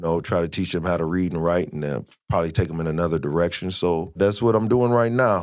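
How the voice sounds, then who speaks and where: Very deep and low, a man with an American accent talks at a very fast pace with ordinary pitch variation. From Iowa, Des Moines. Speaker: former prisoner, youth football coach. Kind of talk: testimony. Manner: halting, many fillers.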